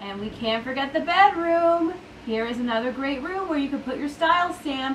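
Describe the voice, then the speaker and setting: Against noticeable background noise and audible room echo, a woman with an American accent speaks at a moderate pace in a high pitch with lively intonation. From Colorado, US. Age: 30s. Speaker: furniture redesigner. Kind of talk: tutorial. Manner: animated.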